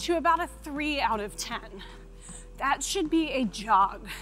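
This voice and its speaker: A woman speaks in a raised, projected voice. Faint music plays in the background. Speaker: fitness coach. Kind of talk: workout instruction. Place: studio. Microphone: lapel.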